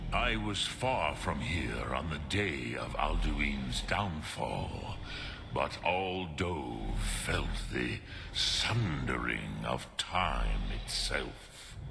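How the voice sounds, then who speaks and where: Over loud background noise, a man in a put-on character voice speaks at a very slow pace. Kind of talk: ancient dragon tongue mixed into speech. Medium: machinima. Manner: slow, solemn, measured.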